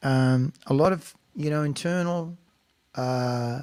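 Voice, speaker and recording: A man with an American accent, fairly high in pitch, with ordinary pitch variation and a very slow pace. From Australia. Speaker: singer-songwriter and show host. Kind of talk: casual chat; spoken introduction to a song. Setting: home studio livestream. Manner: casual, halting with fillers.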